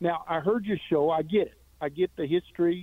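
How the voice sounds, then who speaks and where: A man talks fairly quickly in an unremarkable speaking voice. His pitch is fairly high, with ordinary variation. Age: 60s. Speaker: caller, former teacher and military veteran. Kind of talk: radio call-in. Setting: phone call.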